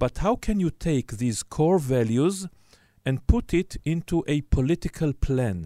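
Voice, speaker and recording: This man has a dark, mellow tone and a fairly high pitch, with very wide pitch swings. He talks at a fairly slow pace on a very clean recording with a silent background. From Israel. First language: Hebrew. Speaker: journalist and moderator. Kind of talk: moderated panel discussion.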